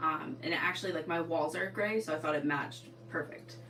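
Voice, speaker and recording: With an American accent and a very deep, low pitch, a woman speaks with ordinary pitch variation over noticeable background noise and audible room echo. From Eastern Connecticut, New England. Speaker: sewing livestreamer and teacher. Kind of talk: casual livestream chat. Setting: livestream at home. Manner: casual, filler-heavy.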